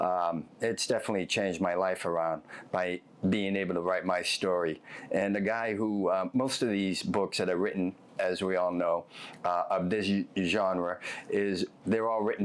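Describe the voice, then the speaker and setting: A man's very deep, low voice with an American accent, at a moderate pace, with fairly even intonation and very even loudness. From Boston, South Boston. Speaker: former mob enforcer, author. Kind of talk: interview. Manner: halting, many fillers.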